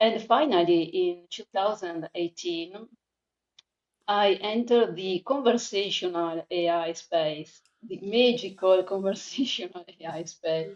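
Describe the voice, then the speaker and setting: A woman speaks in an Italian accent at a fairly slow pace. Her medium pitch shows ordinary variation, while her loudness swings widely. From Italy. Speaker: freelance conversation designer. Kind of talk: podcast interview. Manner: halting, many fillers.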